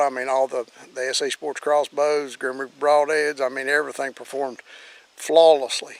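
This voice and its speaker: Talking at a fairly quick pace, a man with an Appalachian accent keeps a fairly high pitch and monotone, flat intonation. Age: 60s. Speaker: hunting video host. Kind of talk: casual outdoor walkthrough and tips. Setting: outdoors in the woods. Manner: halting, many fillers.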